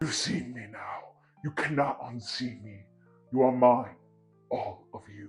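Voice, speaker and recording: Over faint background music, a man uses a put-on, guttural character voice at a fairly slow pace. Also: medium pitch for a man. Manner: menacing.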